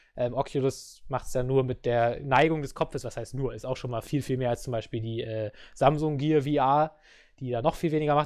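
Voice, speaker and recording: Using an ordinary speaking voice, a man talks at a fairly quick pace with fairly high pitch and ordinary pitch variation. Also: very clean recording, silent background. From Germany. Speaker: podcast host. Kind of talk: casual chat.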